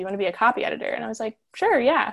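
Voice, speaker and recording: With an American accent, a woman talks at a very fast pace. Her pitch is fairly high. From Central Florida. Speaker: zine writer. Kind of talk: casual chat. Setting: video call from her bedroom.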